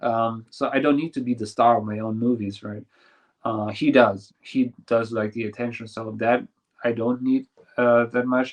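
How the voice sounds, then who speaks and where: A man's medium-pitched voice in a German accent, monotone and flat in intonation, at a moderate pace. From Germany, small village. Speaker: filmmaker and YouTuber. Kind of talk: interview. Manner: halting.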